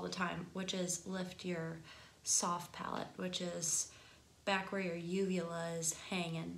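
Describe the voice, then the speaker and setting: In a room with audible echo and noticeable background noise, a woman speaks with a Michigan accent. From US Midwest, Michigan. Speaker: singing teacher. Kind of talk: tutorial. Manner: casual, conversational.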